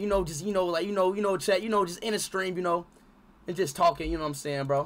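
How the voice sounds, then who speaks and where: Ordinary pitch variation shapes a man's speech. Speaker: livestreamer. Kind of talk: casual stream chat, ranting to chat. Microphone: headset.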